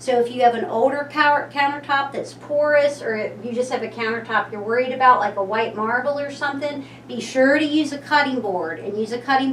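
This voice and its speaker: A woman with a Kentucky accent speaks at a moderate pace in a high voice, with audible room echo and noticeable background noise. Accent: Kentucky pronunciation. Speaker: local shop owner presenting a cooking class. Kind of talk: tutorial. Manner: casual, chatty.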